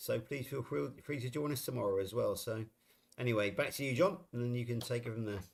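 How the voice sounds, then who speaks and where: A man's medium-pitched, somewhat breathy voice with a West Country accent, at a fairly quick pace with ordinary pitch variation. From England, Somerset. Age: 60s. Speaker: live stream co-host. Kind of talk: casual chat. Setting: live stream.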